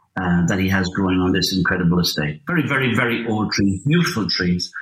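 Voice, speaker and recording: A man with an Irish accent speaks with lively intonation. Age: 50s. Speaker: landscape photographer. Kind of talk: interview. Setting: remote call.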